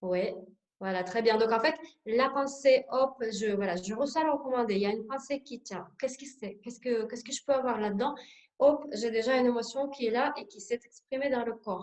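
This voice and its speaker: A woman's high-pitched voice with a Russian accent and ordinary pitch variation. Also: moderate pace, big swings in loudness. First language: Russian (speaking French). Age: 40s. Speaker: sophrologist. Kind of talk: workshop presentation. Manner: hesitant, many filler sounds.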